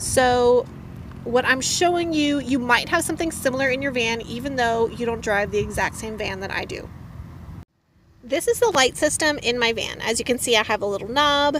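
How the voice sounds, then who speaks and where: High in pitch, a woman talks at a moderate pace. The sound is dry with no echo, over light background noise. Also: ordinary pitch variation. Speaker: van life vlogger. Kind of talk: tutorial. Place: car. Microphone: phone near.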